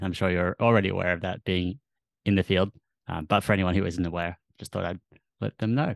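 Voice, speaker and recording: Fairly quick speech in an Australian accent carries fairly even intonation. The sound is dry and close with no echo, and the background is quiet. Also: man. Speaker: podcast host. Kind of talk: interview chat.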